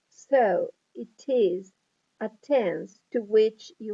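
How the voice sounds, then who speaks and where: A woman's dark, mellow tone with a Spanish accent, in a dry, close sound with no echo. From Argentina. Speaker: English teacher. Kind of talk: lecture. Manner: clear, measured teaching pace.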